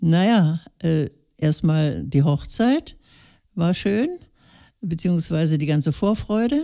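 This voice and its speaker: A dark, mellow tone at a very slow pace, with lively intonation, very even loudness, and long, frequent pauses. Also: woman, fairly low pitch for a woman, very clean recording, silent background. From northern Germany, Lower Saxony (Gifhorn district). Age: 80s+. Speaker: retired elder interviewee. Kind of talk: casual interview.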